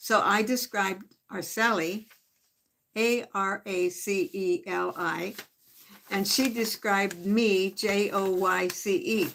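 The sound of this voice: With vocal fry and a fairly bright tone, the speaker talks at a slow pace with fairly even intonation. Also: woman, medium pitch for a woman.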